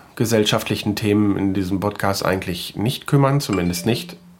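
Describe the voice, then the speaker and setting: A man with an unremarkable speaking voice speaks at a fairly low pitch with ordinary pitch variation. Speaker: podcaster. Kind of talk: casual monologue; reading aloud.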